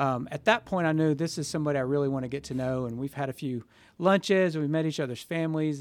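In a very clean recording with a silent background, a man talks at a fairly high pitch with ordinary pitch variation. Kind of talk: casual interview. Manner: warm, with frequent filler words and restarts.

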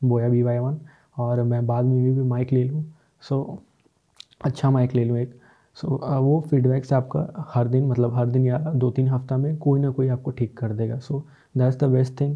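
A man's somewhat breathy, medium-pitched voice, monotone and flat, at a moderate pace. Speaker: podcaster. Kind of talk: solo self-help talk. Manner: halting, with many fillers.

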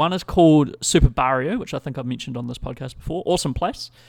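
A man with a New Zealand accent at a very fast pace, medium in pitch with ordinary variation. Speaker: podcast host. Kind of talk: casual chat. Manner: rambling, informal.

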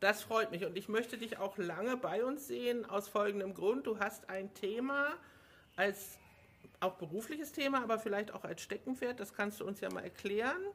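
A woman speaks in a plain, everyday voice, her pitch fairly high. Her pitch variation is ordinary and her pace moderate. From Hamburg. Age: 50s. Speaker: local party podcast host. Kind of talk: casual interview.

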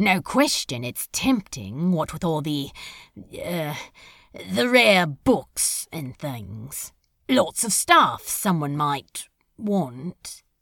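A female-sounding put-on character voice at a middle pitch speaks at a very slow pace with very wide pitch swings. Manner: sulky, sarcastic, hurt.

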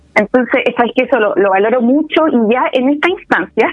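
Here is an unremarkable speaking voice. Its intonation is lively. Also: woman. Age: 30s. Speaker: political candidate and community organizer. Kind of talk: interview.

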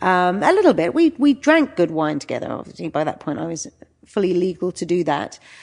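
A woman's fairly low voice moves through very wide pitch swings. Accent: London. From England. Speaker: wine and travel writer. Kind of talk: interview. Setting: in person. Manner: halting.

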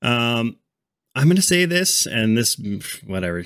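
Over a silent background in a very clean recording, a man with a normal speaking voice talks at a moderate pace in a medium pitch with lively intonation. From Canada. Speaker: baseball podcast host. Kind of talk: casual chat.

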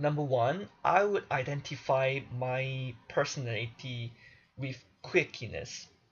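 A man's somewhat breathy, medium-pitched voice at a very slow pace, with ordinary pitch variation. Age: 20s. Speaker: podcast host and singer. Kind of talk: solo monologue. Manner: animated.

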